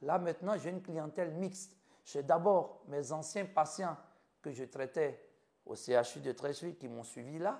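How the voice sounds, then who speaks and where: A man's fairly high voice carries lively intonation at a moderate pace. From Ivory Coast. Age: 50s. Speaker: physician. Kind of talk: interview.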